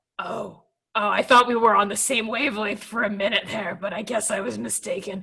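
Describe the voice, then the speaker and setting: A woman's raspy, put-on character voice at a medium pitch, with fairly even intonation and a fairly quick pace. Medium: actual play. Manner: awkward, blunt.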